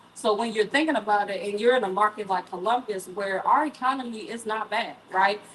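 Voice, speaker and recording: A woman talks at a fairly quick pace with a fairly high pitch and hardly any pauses. Noticeable background noise sits behind her. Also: ordinary pitch variation. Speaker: event moderator. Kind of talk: panel discussion. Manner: loud.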